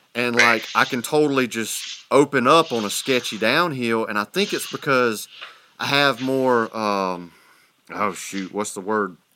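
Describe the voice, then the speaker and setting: A man with a Southern US accent talks at a fairly slow pace in a bright, sharp tone. His pitch is medium, with ordinary variation. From US South. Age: 40s. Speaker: podcast host. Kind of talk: casual chat.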